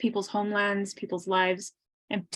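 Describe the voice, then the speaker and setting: A woman speaks very fast at a medium pitch, her intonation fairly even. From New Mexico, Pueblo communities (Isleta, San Felipe). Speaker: youth climate campaign organizer, event host. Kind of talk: online panel introduction, prepared remarks. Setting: video call.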